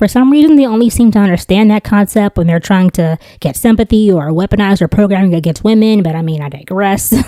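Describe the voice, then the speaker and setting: A woman's medium-pitched voice at a very fast pace with hardly any pauses and lively intonation, dry and close with no echo. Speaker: YouTube commentary host. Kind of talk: reaction commentary.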